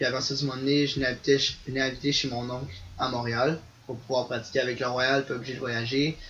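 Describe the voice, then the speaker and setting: Over noticeable background noise, a man talks at a medium pitch with monotone, flat intonation. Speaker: ultimate frisbee player. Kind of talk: casual interview.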